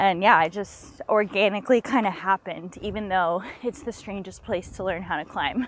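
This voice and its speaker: In an ordinary speaking voice with an American accent, a woman talks at a moderate pace and medium pitch, with ordinary pitch variation and hardly any pauses. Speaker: professional climber. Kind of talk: casual chat. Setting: outdoors.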